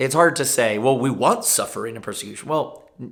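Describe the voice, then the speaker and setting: Using an ordinary speaking voice, a man talks at a medium pitch and a moderate pace with ordinary pitch variation. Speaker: pastor. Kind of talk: informal bible teaching video.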